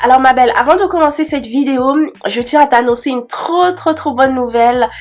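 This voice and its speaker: Music plays in the background while a woman talks. Her voice is high-pitched and her tone is animated. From Cameroon. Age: 20s. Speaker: beauty youtuber. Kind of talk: casual Q&A vlog. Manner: chatty, animated; hesitant fillers.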